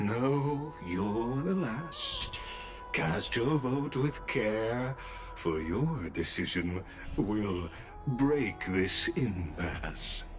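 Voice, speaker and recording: Loud music plays in the background as a man, in a put-on character voice with a solemn tone and a medium pitch, speaks at a very slow pace. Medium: video game. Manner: solemn, formal.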